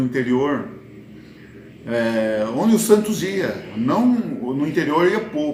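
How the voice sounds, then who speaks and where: A man speaks with lively intonation. Room echo is audible around his voice. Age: 60s. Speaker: football fan commentator, vlogger. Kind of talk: casual monologue, football commentary. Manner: hesitant, with fillers and restarts.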